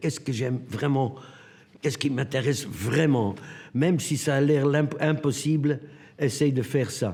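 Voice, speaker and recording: At a moderate pace, a man talks in a medium pitch with a somewhat breathy quality. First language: Dutch (Flemish) (speaking French). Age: 80s+. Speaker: sculptor. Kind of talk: documentary interview. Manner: halting.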